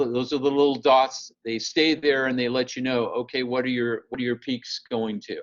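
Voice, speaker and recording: A man is talking. He has a medium pitch. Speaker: professor. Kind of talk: tutorial. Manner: loud; halting.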